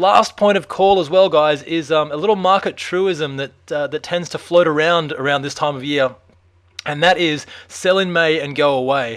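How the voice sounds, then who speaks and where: A man with an Australian accent speaks in a fairly high pitch. His pace is moderate, with ordinary pitch variation. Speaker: stock market commentator. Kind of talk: market analysis video. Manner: casual, filler-heavy.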